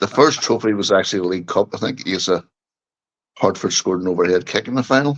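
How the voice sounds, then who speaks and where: Talking at a very fast pace, a man with a Northern Irish accent has a fairly low pitch and ordinary pitch variation. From Northern Ireland, Bangor, County Down. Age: 60s. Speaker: football fan guest. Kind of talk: casual chat.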